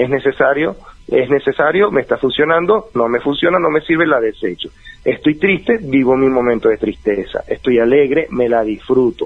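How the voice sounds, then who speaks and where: A plain, everyday voice from a man, fairly high in pitch, with lively intonation, very even loudness and a moderate pace. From Venezuela (Valencia). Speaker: life coach. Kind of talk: advice interview.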